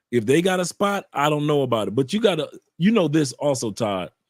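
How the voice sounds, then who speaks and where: With a fairly high pitch and an American accent, a man talks at a fairly quick pace in an animated tone with lively intonation, the sound dry and close with no echo. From Ohio, US. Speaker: YouTuber guest, expat. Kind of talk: casual interview chat.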